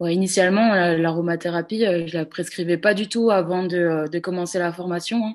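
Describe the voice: Fairly even intonation accompanies a fairly quick pace in the speech. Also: woman, fairly low pitch for a woman.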